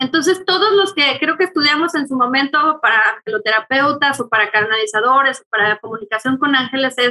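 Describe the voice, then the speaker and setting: A woman's high-pitched, raised and projected voice, bright and sharp in tone, with lively intonation at a moderate pace. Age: 40s. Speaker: angel channeler and therapist. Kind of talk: casual interview.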